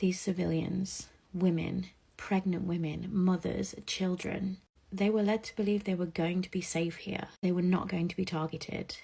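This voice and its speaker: The voice is soft-spoken. It moves at a moderate pace. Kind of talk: social media appeal.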